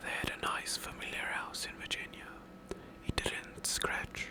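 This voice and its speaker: Whispering in a soothing tone at a fairly slow pace, with noticeable background noise. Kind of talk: scary story book reading. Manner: quiet, soothing, relaxing.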